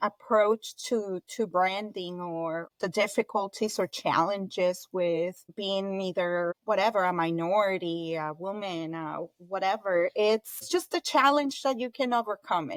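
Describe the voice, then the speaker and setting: A woman of medium pitch with a Colombian accent, at a fairly slow pace with hardly any pauses and ordinary pitch variation, in a dry, close sound with no echo. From Colombia (Bogota), moved to Florida at 14. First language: Spanish. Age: 40s. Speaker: entrepreneur, event business founder. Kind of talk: interview. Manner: animated, talkative.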